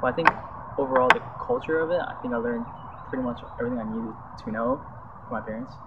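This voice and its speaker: A man of medium pitch with a Chinese accent, very fast pace, long, frequent pauses, fairly even intonation and noticeable background noise. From US, raised in Chinese-speaking family. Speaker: interviewee. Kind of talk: interview answer.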